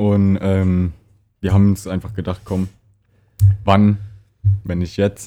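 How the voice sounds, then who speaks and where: A man's dark, mellow tone, fairly low in pitch, at a very slow pace with long, frequent pauses and monotone, flat intonation, on a very clean recording with a silent background. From Palatinate, Germany. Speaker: podcast co-host. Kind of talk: casual chat.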